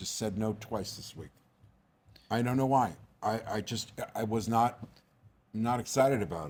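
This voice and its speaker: A man with an American accent and vocal fry speaks at a moderate pace and a medium pitch, with ordinary pitch variation, big swings in loudness, and long, frequent pauses. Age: 60s. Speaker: actor. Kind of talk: casual chat. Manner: animated.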